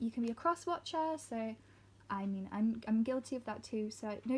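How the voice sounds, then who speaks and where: At a moderate pace, a woman speaks somewhat breathily in a fairly high pitch with ordinary pitch variation. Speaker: tarot reader. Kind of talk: tarot reading video.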